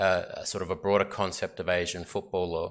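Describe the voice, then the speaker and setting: The recording is very clean with a silent background, and a man speaks at a fairly quick pace. He has a strong Australian accent and a bright, sharp tone. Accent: Australian, very obvious. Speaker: sports lawyer presenting at a symposium. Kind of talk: conference presentation. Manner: hesitant, many fillers.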